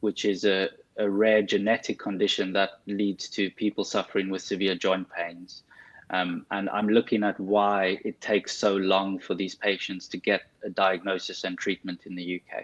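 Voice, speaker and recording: With a South African accent, a man speaks at a moderate pace in a fairly low, monotone voice with flat intonation, the sound dry and close with no echo. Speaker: consultant physiotherapist. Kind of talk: interview.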